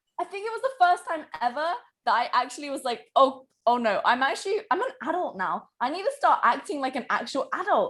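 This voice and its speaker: A high-voiced woman with a British accent, at a fairly quick pace with very wide pitch swings. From UK. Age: 20s. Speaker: online business coach. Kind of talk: podcast interview.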